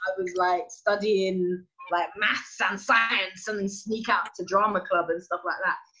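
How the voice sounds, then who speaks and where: Noticeable background noise accompanies a woman speaking at a fairly slow pace. Her pitch is medium, with ordinary pitch variation. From England, Nigerian family. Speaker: comedy actor. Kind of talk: casual chat.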